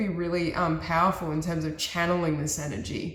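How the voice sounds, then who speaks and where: Over noticeable background noise, a woman with a fairly low pitch speaks at a fairly quick pace. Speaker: tarot reader. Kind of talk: tarot reading.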